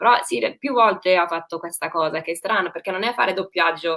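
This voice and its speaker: A woman's fairly low voice with a bright, sharp tone, a fairly quick pace and ordinary pitch variation. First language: English (speaking Italian). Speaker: actress. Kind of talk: interview. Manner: halting, with fillers and self-corrections.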